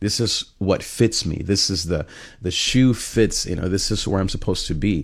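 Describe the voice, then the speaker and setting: Somewhat breathy male voice at a fairly low pitch, with ordinary pitch variation and a moderate pace. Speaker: pastor and life coach. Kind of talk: motivational livestream monologue.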